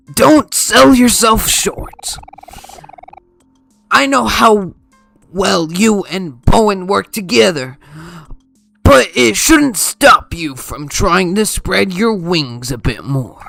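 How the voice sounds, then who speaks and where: A put-on character voice at a middle pitch, with very wide pitch swings, a very slow pace and long, frequent pauses. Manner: cheerful, happy.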